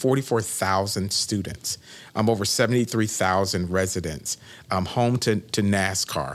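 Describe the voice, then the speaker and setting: A man has an unremarkable speaking voice, fairly low in pitch with ordinary pitch variation. The recording is very clean, with a silent background. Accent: American. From Florida, Winter Haven. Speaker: city manager. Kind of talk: interview.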